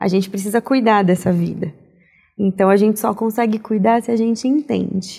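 Over a quiet background, a woman speaks with a dark, mellow tone. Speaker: pediatric oncologist, childhood cancer survivor. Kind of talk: podcast interview. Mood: warm, reflective. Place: studio. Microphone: lapel.

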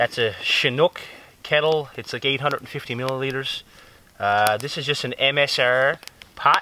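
Over light background noise, a man with a fairly high pitch talks at a very slow pace with fairly even intonation, and the sound is dry with no echo. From Newfoundland, Canada. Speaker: bushcraft YouTuber. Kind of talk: casual vlog talk to camera. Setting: outdoors in the woods. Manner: relaxed, conversational. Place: forest.

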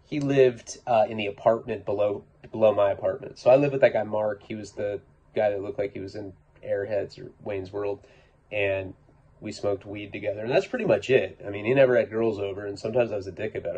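A somewhat breathy voice at a very fast pace, with fairly even intonation. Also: man. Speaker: podcaster or vlogger. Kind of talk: casual storytelling monologue. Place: home room.

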